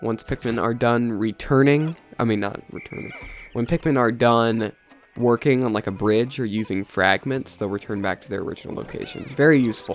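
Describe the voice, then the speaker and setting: With music in the background, a man talks at a fairly quick pace and medium pitch, showing ordinary pitch variation and big swings in loudness. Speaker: gaming youtuber. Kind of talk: let's play commentary. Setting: post-recorded voiceover.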